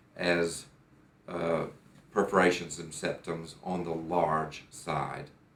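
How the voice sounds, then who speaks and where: A man with a very deep, low voice speaks in an American accent at a fairly slow pace. Audible room echo surrounds his words. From United States. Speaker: patient. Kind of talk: testimony. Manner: halting, with fillers and repeats.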